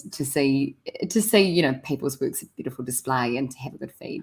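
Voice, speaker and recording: Speaking with a New Zealand accent, a woman with a very deep, low pitch moves at a fairly quick pace. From New Zealand, small regional area. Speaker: community radio co-host. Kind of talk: casual radio chat.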